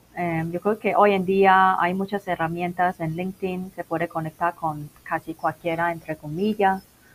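A woman speaks with fairly even intonation. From Macau. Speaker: business internationalization consultant. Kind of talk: interview. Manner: halting.

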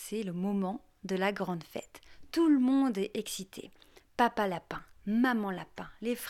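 This is an unforced reading voice. It has ordinary pitch variation.

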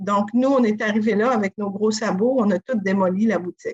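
A woman's fairly high, somewhat breathy voice carries ordinary pitch variation. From Quebec, Côte-Nord (Sacré-Cœur). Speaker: inn and restaurant co-owner. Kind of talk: interview. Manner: halting.

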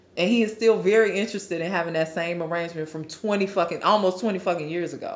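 Fairly low in pitch, a woman talks in a normal speaking voice. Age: 20s. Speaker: podcast co-host. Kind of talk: casual chat.

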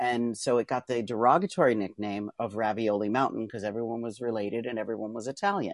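A man of medium pitch rattles along at a very fast pace, his sound dry and close with no echo against a quiet background. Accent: American. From Pennsylvania, US. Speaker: trapeze artist and author. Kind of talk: casual interview chat. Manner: fast talker; animated, laughs often.

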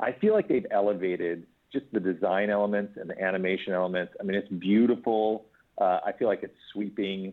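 The speech moves along fairly quickly, with fairly even intonation. It is a normal speaking voice. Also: man, fairly low pitch for a man. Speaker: screenwriter. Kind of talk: interview.

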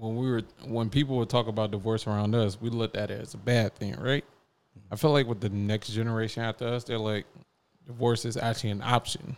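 A man with a slight Southern US accent talks at a fairly quick pace and a medium pitch. His intonation is fairly even, broken by long, frequent pauses. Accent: slight Southern twang. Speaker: podcast host. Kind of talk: casual chat. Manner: laid-back, joking.

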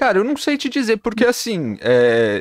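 The sound is dry and close with no echo. A man speaks at a moderate pace. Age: 20s. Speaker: podcast host. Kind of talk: casual chat.

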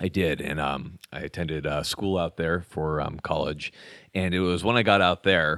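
With a very deep, low pitch and an American accent, a man talks at a moderate pace in a very clean recording with a silent background and a dry, close sound with no echo. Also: fairly even intonation. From Southern California (Orange County). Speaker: military special operations airman and video creator. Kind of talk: casual interview conversation. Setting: in person with host.

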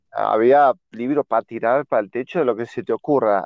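A man with a Rioplatense accent talks at a fairly quick pace. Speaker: podcast co-host. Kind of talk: casual chat.

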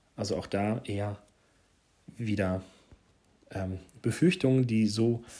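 A man speaks with a dark, mellow tone at a fairly low pitch. His intonation stays fairly even, broken by long, frequent pauses. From Hesse, Germany (Marburg). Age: 30s. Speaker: parenting podcaster. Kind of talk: casual monologue. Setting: home living room. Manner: hesitant, with filler words.

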